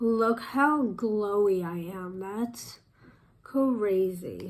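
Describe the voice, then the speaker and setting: There is audible room echo around a woman's medium-pitched voice. She talks at a very slow pace with ordinary pitch variation. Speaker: makeup artist. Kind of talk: makeup tutorial. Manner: casual, chatty.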